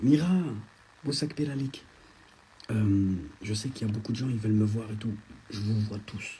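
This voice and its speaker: Soft-spoken and somewhat breathy, a man talks at a moderate pace and fairly low pitch in a dark, mellow tone, with ordinary pitch variation and long, frequent pauses. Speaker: social media influencer. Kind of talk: live stream chat reading comments. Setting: at a friend's home, Instagram live.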